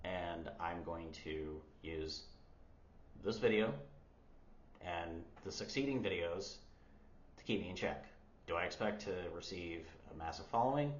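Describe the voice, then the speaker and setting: A man with an American accent speaks at a fairly slow pace, his intonation lively, with audible room echo around him. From United States. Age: 30s. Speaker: language learner vlogger. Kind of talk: casual vlog.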